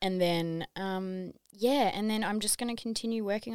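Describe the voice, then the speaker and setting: Fairly even intonation and a medium pitch mark a woman's normal speaking voice as she talks at a moderate pace. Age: 30s. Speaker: wellness app owner. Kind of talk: casual chat. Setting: studio.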